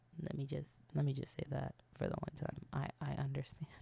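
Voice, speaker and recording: In a British accent, a woman talks at a fairly quick pace. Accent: put-on British accent over American. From South Florida. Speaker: podcast host. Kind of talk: casual solo podcast monologue. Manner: fast.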